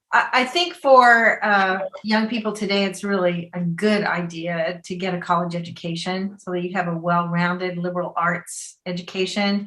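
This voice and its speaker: An American woman speaks at medium pitch and a moderate pace, barely pausing. Her intonation stays fairly even over noticeable background noise. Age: 60s. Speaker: filmmaker and teacher. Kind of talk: interview.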